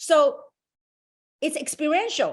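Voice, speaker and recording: Woman's animated voice with very wide pitch swings. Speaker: business opportunity presenter. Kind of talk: motivational presentation on a webinar. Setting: online group call. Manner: fast.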